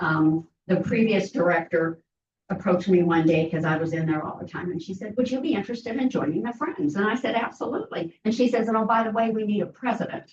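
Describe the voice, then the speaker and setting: Somewhat breathy and with an American accent, this voice moves at a very fast pace with lively intonation. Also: woman, medium pitch for a woman. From Southern California. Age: 80s+. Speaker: library volunteer, former council member. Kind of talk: public comment at council meeting. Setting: city council meeting.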